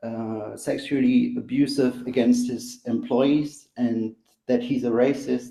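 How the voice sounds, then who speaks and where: In a German accent, a man speaks at a medium pitch with a dark, mellow tone and monotone, flat intonation. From Germany. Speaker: caller. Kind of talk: live panel discussion. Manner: halting, many fillers.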